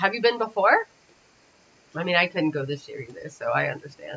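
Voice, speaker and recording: The pace is fairly quick. Light background noise sits underneath. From Windsor, Ontario, Canada (near Detroit); Ontario. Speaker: animation rigging instructor. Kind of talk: livestream tutorial. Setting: livestream from parents' home. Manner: casual, thinking aloud. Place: home room.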